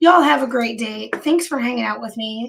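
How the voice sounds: A woman uses a put-on character voice, hoarse and raspy, at a fairly high pitch. Her intonation is lively, her loudness swings widely, and her pace is fairly quick.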